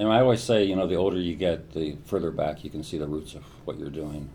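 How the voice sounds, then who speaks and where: A man's very deep, low voice with a dark, mellow tone, amid audible room echo. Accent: American. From US Midwest (Columbus, Ohio). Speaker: neuroscientist. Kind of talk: interview. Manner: hesitant, frequent fillers and repetitions.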